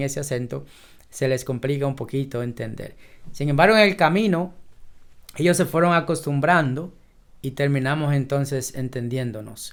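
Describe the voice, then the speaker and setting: A man with a fairly high pitch talks at a moderate pace, varying his pitch in an ordinary way. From Dominican Republic, southwest, raised in a sugar batey. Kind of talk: interview. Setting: office.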